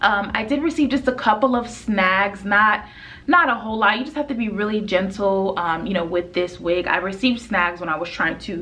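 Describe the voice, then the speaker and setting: Music plays in the background. A woman speaks at a medium pitch with lively intonation. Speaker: beauty vlogger. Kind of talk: product review. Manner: fast; casual, many fillers.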